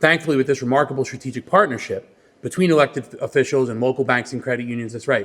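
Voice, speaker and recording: A man speaks at a very fast pace with a New York accent. His pitch sits in the medium range. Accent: New York (Queens). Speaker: credit union executive. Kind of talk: press conference speech. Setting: press conference.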